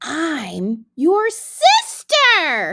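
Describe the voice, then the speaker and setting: A squeaky, put-on character voice, female-sounding, at an extremely high pitch. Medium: read story. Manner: clever, sly.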